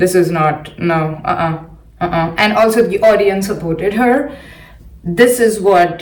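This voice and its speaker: A woman with an Indian accent speaks at medium pitch and a fairly slow pace, with noticeable background noise and audible room echo. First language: not English (English is her third language). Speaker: science podcaster. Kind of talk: solo commentary podcast. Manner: halting, many fillers and repeats.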